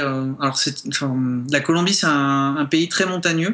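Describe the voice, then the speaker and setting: A man's bright, sharp voice at a fairly slow pace, with ordinary pitch variation. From southern France, Montpellier. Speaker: guest. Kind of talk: radio interview.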